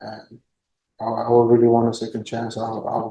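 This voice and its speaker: With a Spanish accent, a man talks at a medium pitch in a dark, mellow tone with monotone, flat intonation. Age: 20s. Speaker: defendant. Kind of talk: courtroom plea. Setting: courtroom. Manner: halting, repeats words.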